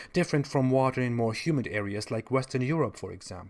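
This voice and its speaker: A man with a German accent talks with lively intonation. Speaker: online commentator on religion. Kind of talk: video monologue commentary. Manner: sarcastic.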